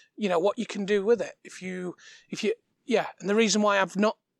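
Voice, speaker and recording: A quiet, high-pitched man with fairly even intonation, dry and close with no echo, on a very clean recording with a silent background. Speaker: cooking demo host. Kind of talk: cooking tutorial. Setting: outdoor demo kitchen in front garden. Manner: halting, many fillers.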